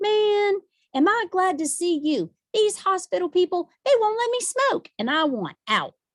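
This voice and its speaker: A woman puts on a squeaky character voice at an extremely high pitch, with very wide pitch swings, a moderate pace and a dry, close sound with no echo. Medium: read story. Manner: tough, casual.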